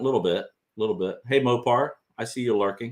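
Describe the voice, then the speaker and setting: This is a normal speaking voice. It moves along at a moderate pace. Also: man. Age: 60s. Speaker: bigfoot researcher and channel host. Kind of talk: casual livestream chat. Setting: livestream studio.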